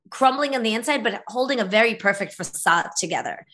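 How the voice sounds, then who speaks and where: A woman's bright, sharp voice with ordinary pitch variation against a quiet background. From former Soviet Union, raised in the US from age eight. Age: 40s. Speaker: author. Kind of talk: interview.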